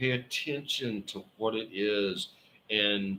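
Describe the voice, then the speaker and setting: Speaking very slowly in a Southern US accent, a man uses a fairly low pitch with a bright, sharp tone. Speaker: tarot reader. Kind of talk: live stream tarot reading. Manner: casual, halting with fillers.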